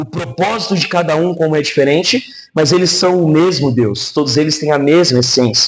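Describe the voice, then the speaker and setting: This man speaks at a moderate pace with ordinary pitch variation. Room echo can be heard. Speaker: pastor. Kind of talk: sermon.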